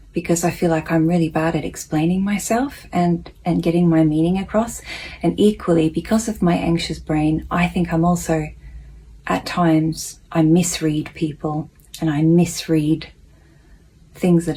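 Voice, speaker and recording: Her voice is somewhat breathy, fairly low-pitched and dark and mellow in tone. The woman speaks at a fairly slow pace with very even loudness. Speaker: self-help vlogger reading a daily lesson. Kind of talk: reading aloud with personal reflection. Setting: at home, housemate napping next room. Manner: soft-spoken, quieter than usual.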